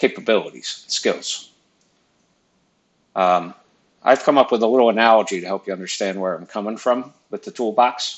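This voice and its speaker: The man keeps a moderate pace, and his pitch varies in an ordinary way. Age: 50s. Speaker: engineering professor. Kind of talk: lecture.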